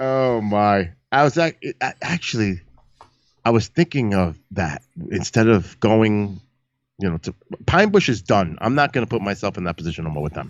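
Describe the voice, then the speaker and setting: A man's fairly low-pitched voice with a New York accent. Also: lively intonation, moderate pace. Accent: Bronx New York. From New York City, the Bronx. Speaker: live-stream astronomy host and paranormal show producer. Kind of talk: casual chat. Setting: live stream.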